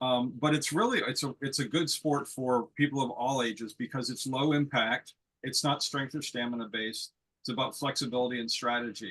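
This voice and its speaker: With an American accent, a man talks at a fairly quick pace in a normal speaking voice, his medium pitch and fairly even intonation. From United States. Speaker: lawn bowls player, panelist. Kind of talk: panel discussion.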